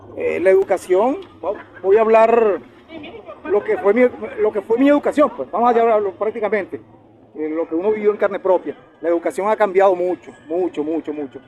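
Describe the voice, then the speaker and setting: With noticeable background noise behind him, a high-pitched man talks at a fairly quick pace, his intonation lively and his pauses long and frequent. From Venezuela, Valle de la Pascua (Guárico, llanos). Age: 50s. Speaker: lawyer and human rights defender. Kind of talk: casual interview. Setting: outdoors in the sun.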